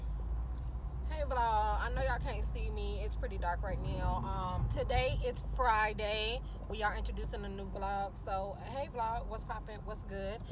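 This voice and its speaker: A woman speaks at a fairly slow pace with hardly any pauses. Audible room echo and noticeable background noise surround her voice. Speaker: vlogger. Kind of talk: casual vlog chat.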